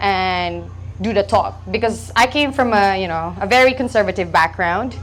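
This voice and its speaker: In a Filipino accent, a woman talks at a moderate pace. Room echo is audible in the recording. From Philippines. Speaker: stand-up comedian. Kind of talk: stand-up. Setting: stage with audience. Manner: halting, many ums.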